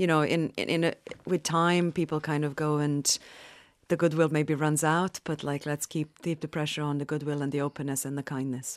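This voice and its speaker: A woman with a Bosnian accent and very deep, low pitch at a moderate pace, monotone and flat, dry and close with no echo, over a quiet background. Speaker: author and war survivor. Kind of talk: interview. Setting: studio.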